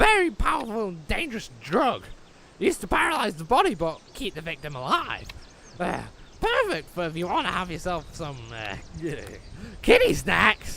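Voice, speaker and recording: A man's high-pitched, cartoonish character voice at a moderate pace, broken by long, frequent pauses. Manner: crude, sweary.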